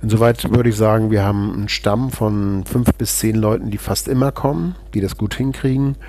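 A man speaks at a fairly low pitch and a moderate pace with fairly even intonation. He hardly pauses, and background noise is noticeable. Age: 50s. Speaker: politician, member of parliament. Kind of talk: podcast interview.

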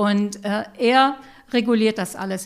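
Very slowly and with fairly even intonation, a woman talks at a medium pitch in a very clean recording with a silent background. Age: 60s. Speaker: patient and peer counselor. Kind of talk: interview, personal testimony.

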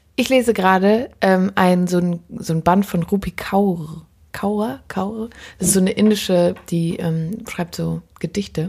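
A woman speaks at a fairly slow pace in a somewhat breathy voice, her intonation fairly even. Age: 20s. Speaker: podcast host and musician. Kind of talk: casual chat. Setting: kitchen.

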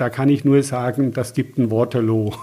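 This is a man speaking. His voice has a dark, mellow tone. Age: 60s. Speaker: naturopath. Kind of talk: interview. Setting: at guest's practice/home.

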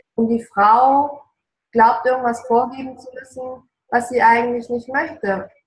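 A woman speaks in a high, flat monotone at a fairly slow pace. Her loudness swings widely. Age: 40s. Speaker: relationship coach. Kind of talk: casual interview. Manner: passionate, emotional.

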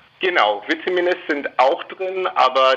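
A man with an English accent. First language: English (speaking German). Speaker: company spokesperson. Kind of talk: radio interview.

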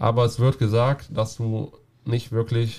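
A somewhat breathy man's voice, medium in pitch, with a dark, mellow tone at a moderate pace. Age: 20s. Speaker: carpenter and roofer going on journeyman travels. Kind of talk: casual interview.

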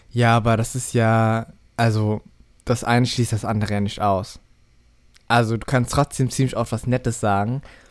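At a moderate pace with long, frequent pauses, the voice comes through on a very clean recording with a silent background. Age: 20s. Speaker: podcast co-host. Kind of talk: casual chat.

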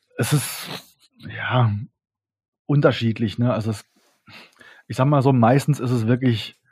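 A man speaks at a fairly slow pace, his voice somewhat breathy and his intonation fairly even. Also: medium pitch for a man. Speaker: electropunk musician. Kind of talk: interview. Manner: casual, hesitant with many fillers.

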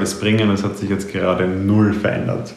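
The speech moves at a moderate pace with fairly even intonation. Noticeable background noise and audible room echo are present. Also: man. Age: 20s. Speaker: mindfulness and mental trainer. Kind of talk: personal monologue podcast.

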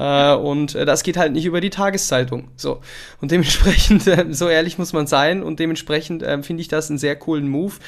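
With a normal speaking voice, a man talks at a fairly quick pace, his pitch fairly high and his intonation fairly even. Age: 20s. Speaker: podcast host. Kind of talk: casual interview chat. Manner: casual, filler-heavy.

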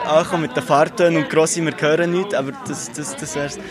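Over crowd noise in the background, a man speaks at a fairly high pitch with ordinary pitch variation. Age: 20s. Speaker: philosophy student, workshop participant. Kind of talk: interview.

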